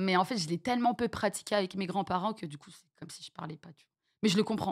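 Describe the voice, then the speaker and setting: A very fast, somewhat breathy delivery with big swings in loudness. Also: woman, medium pitch for a woman, ordinary pitch variation. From France, with childhood years in Venezuela and French Guiana. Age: 30s. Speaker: streamer. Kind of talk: interview. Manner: halting.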